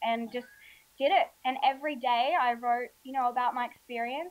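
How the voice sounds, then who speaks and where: A woman with an Australian accent, high-pitched, with ordinary pitch variation and a moderate pace. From Australia, Alice Springs. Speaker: healthy eating author and blogger. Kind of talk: casual interview chat.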